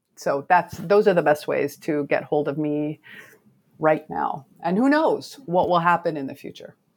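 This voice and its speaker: The speaker has an unremarkable speaking voice with an American accent and ordinary pitch variation. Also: woman, fairly low pitch for a woman. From US West Coast (Oregon). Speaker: fantasy author. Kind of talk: casual interview.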